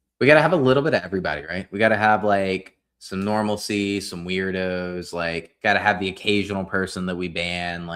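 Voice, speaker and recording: Hardly pausing, a man with a Southern US accent speaks in a very deep, low voice. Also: ordinary pitch variation, fairly quick pace. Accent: faint Southern twang. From Nashville, Tennessee. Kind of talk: casual, conversational.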